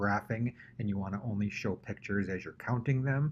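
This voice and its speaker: A man's somewhat breathy, fairly low voice against a quiet background. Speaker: tech tutorial host for teachers. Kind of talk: screen-recorded tutorial. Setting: at computer, screen recording. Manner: casual, conversational.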